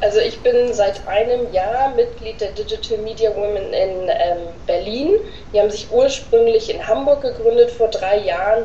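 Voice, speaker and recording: Noticeable background noise runs through the clip. The speaker keeps a moderate pace. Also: woman. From northern Germany (Oldenburg). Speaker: social media manager. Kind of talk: interview answers. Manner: hesitant with many fillers.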